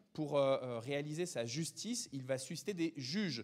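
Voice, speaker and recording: Over a quiet background, a man speaks at a fairly slow pace. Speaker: preacher. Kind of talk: sermon. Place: church.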